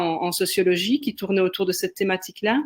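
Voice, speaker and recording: A medium-pitched woman's voice with a slight Belgian accent. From Belgium, Liège. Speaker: sociologist and creativity facilitator. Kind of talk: webinar discussion.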